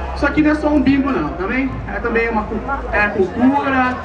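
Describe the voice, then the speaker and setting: Crowd noise fills the background as the voice moves at a moderate pace. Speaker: host of a street event. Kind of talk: mock bingo-hall calling, playful street-protest performance. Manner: jokey, teasing the crowd with call-and-response. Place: street.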